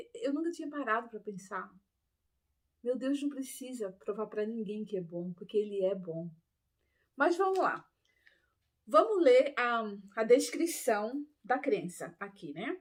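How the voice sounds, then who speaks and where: Speaking at a fairly slow pace with long, frequent pauses, a woman uses a fairly high pitch with very wide pitch swings and big swings in loudness. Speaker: ex-Adventist Bible teacher. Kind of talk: Bible study talk.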